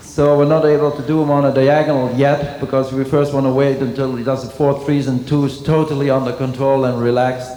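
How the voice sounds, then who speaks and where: A man with a Dutch accent talks at a fairly quick pace in a fairly high, flat monotone. Noticeable background noise and audible room echo surround him. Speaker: dressage trainer. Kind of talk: clinic demonstration commentary.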